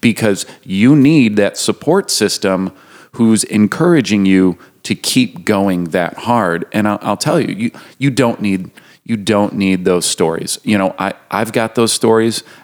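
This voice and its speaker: A man's ordinary speaking voice, fairly low in pitch with ordinary pitch variation, at a fairly slow pace. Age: 30s. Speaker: nonprofit co-leader. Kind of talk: casual interview.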